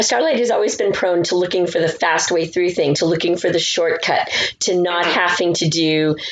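Speaking at a moderate pace, a woman uses a plain, everyday voice with a fairly low pitch and fairly even intonation. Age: 50s. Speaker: podcaster. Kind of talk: casual chat.

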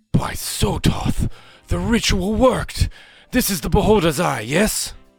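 In a put-on character voice, a man talks fairly slowly with lively intonation and a high pitch. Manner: urgent.

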